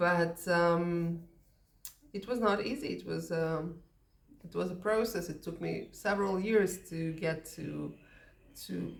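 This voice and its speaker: Very slow speech from a woman with a Russian accent, fairly low pitch and vocal fry, fairly even intonation, big swings in loudness, long, frequent pauses and audible room echo. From Soviet Union. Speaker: English teacher. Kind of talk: casual talk to camera. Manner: hesitant, many fillers.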